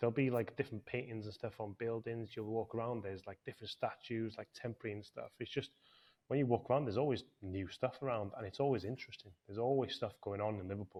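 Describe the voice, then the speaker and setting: Talking at a very fast pace, a man with a Welsh accent uses medium pitch and fairly even intonation. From North Wales. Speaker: property business owner. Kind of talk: podcast interview.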